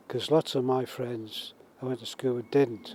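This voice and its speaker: In a Manx accent, a man of medium pitch speaks with a dark, mellow tone, the sound dry and close with no echo. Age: 80s+. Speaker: war veteran. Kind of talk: interview.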